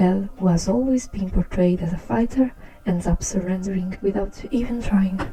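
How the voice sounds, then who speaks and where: With a strong non-native accent, a woman speaks using ordinary pitch variation. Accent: very strong non-native. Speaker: art channel creator. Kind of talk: commentary over speedpaint.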